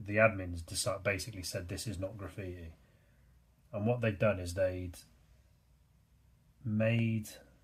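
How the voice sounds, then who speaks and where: A fairly low-pitched man with a British accent, somewhat breathy, with fairly even intonation and long, frequent pauses. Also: moderate pace. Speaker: artist and YouTuber. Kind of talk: casual chat while drawing. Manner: monotone; hesitant, many fillers.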